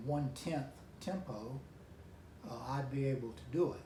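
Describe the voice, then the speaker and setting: A man with a North Carolina accent and a fairly high pitch, amid noticeable background noise and audible room echo. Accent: Southern US (North Carolina). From US South. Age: 70s. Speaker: amateur guitarist. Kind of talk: vlog talk to camera. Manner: halting, with fillers.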